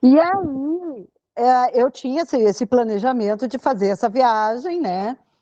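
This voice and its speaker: Her voice is high and her tone dark and mellow, with lively intonation at a fairly slow pace. The woman is recorded with a dry, close sound and no echo. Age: 60s. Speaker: podcast guest, retired financial analyst. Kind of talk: casual interview.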